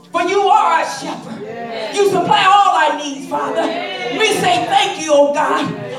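Fairly slow delivery with hardly any pauses, set against noticeable background noise. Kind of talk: fervent prayer and praise, call-and-response style. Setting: prayer call. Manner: rhythmic, exclamatory, full of shouted 'hallelujah' and 'glory'.

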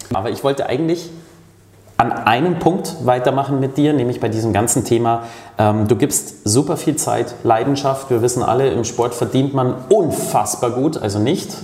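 A man at medium pitch and moderate pace, ordinary pitch variation, noticeable background noise. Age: 30s. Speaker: podcast host. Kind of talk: casual interview.

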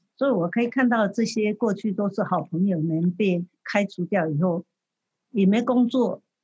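At a medium pitch, a woman speaks at a moderate pace with ordinary pitch variation and very even loudness. Her tone is dark, mellow and somewhat breathy, in a dry, close sound with no echo. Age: 70s. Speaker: museum board chair. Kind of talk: radio interview.

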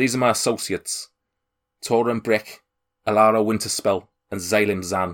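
A gruff put-on character voice from a man, fairly low in pitch, in a Liverpool accent, at a fairly slow pace, on a very clean recording with a silent background. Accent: Liverpool Scouse. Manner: gruff, suspicious, threatening.

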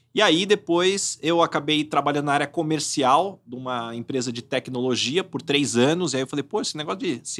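On a very clean recording with a silent background, an unremarkable speaking voice rises and falls with lively intonation. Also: man. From Brazil, São Paulo state interior. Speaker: headhunter. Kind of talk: casual interview chat.

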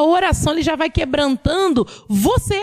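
This woman speaks with lively intonation. The sound is dry and close, with no echo. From Bahia, Brazil (Ilhéus). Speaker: preacher. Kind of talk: sermon.

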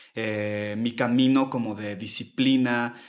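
In a Mexico City accent, a man speaks at a medium pitch. His intonation stays fairly even. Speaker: yoga teacher. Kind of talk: casual chat.

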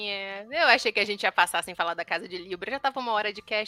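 Over noticeable background noise, a woman talks at a very fast pace with a fairly high pitch and ordinary pitch variation. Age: 20s. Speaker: podcast co-host. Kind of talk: casual chat. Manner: animated.

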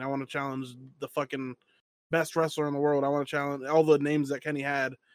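The man has a plain, everyday voice with fairly high pitch and talks at a fairly quick pace. The sound is dry and close, with no echo. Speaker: podcast host. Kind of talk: casual chat.

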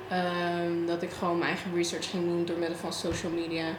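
A woman at a fairly low pitch, with audible room echo and noticeable background noise. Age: young (19). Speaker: student guest. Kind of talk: casual discussion.

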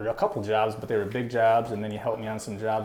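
Talking at a very fast pace, a man has a fairly low pitch and an American accent. Noticeable background noise runs underneath. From northern Wisconsin. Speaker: entrepreneur, gutter business owner. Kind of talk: casual interview.

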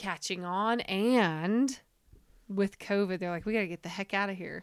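A woman's normal speaking voice at medium pitch, with ordinary pitch variation and a moderate pace, in a very clean recording against a silent background. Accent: American. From Utah (Centerville, near Salt Lake City). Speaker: nurse and former pro snowboarder. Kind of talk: casual chat.

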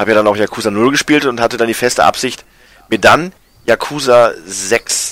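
At a moderate pace, a man talks with fairly low pitch. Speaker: video game podcast co-host. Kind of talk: casual chat. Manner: hesitant, many filler sounds.

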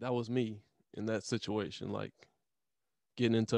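Here a man with an American accent speaks at a medium pitch and a moderate pace. His intonation is monotone and flat, and the sound is dry and close with no echo. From Louisiana. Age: 30s. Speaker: podcast host. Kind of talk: solo monologue. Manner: casual, halting with filler words.

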